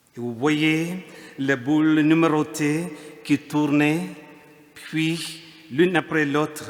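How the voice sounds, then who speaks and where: A man talks at a very slow pace through noticeable background noise. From India. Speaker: priest. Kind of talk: sermon. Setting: church.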